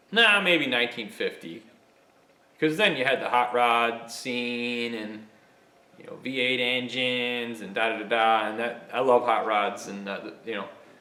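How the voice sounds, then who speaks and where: At a fairly slow pace, a man with medium pitch and ordinary pitch variation speaks with big swings in loudness and audible room echo. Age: 40s. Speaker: machinist and YouTuber. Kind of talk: casual monologue. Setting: home workshop. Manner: animated.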